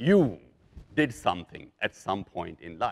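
With a bright, sharp tone, a man talks at a fairly slow pace, his pitch swinging widely.

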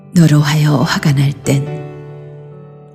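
Over music in the background, the voice moves at a very slow pace in a calm, soothing tone. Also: woman. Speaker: poetry reciter. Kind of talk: poetry reading.

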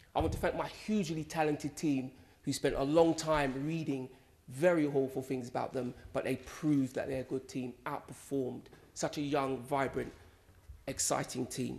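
A man speaks with a London accent at a moderate pace. His intonation stays fairly even. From West London, England. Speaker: politician, election candidate. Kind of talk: concession speech. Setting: stage in a hall with audience. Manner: formal. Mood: gracious, upbeat. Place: hall. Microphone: podium.

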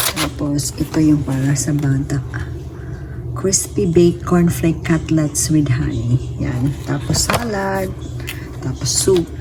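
Very slow speech over noticeable background noise. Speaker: caregiver vlogger. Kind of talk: casual vlog. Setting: walking outdoors.

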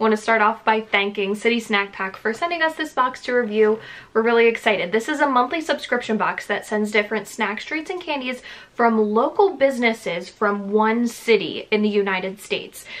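Her pitch variation ordinary, a woman speaks at a fairly quick pace. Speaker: YouTuber reviewing a subscription box. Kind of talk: casual vlog chat. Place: home room.

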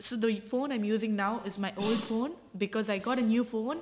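A woman speaks with a fairly high pitch and fairly level intonation. Noticeable noise fills the background. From India. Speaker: traveller. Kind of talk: casual chat.

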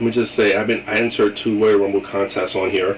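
There is noticeable background noise behind a man speaking at a fairly low pitch. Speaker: wrestling vlogger. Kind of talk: casual video monologue with predictions. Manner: animated, opinionated fan.

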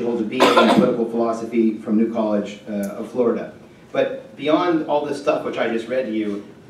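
A man at a very fast pace, with audible room echo and light background noise. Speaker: speaker. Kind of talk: speaker introduction. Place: hall.

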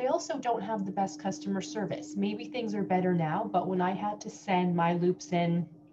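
Noticeable background noise sits behind a woman whose voice is fairly low in pitch. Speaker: dental hygienist reviewer. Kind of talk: casual product review chat. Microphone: webcam.

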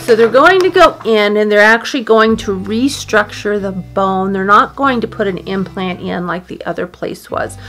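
Faint music plays in the background as a woman speaks at a moderate pace with hardly any pauses and ordinary pitch variation. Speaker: dog owner vlogger. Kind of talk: casual vlog chat. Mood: worried but calm. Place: home room.

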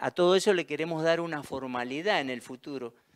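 A man's fairly high pitch with ordinary pitch variation against a quiet background. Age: 60s. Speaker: local council candidate; council candidate. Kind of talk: candidate statement interview. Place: studio. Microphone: handheld.

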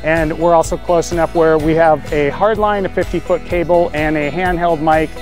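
A man's flat, monotone delivery in a dry, echo-free sound, with clear music in the background. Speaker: wedding DJ. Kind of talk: walkthrough tour narration. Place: open country. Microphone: phone near.

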